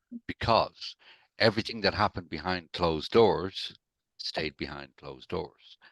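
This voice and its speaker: Very deep and low, a man's voice carries an Irish accent at a moderate pace with ordinary pitch variation. The sound is dry and close with no echo, and the loudness swings widely. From Ireland, Dublin. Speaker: recovered alcoholic sharing his story. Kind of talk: interview, personal testimony.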